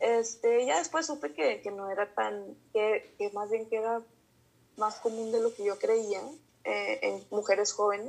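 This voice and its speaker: Here a woman speaks with a Mexican accent. Her pace is fairly slow. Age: 30s. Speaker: psychologist. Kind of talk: interview. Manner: hesitant, many fillers.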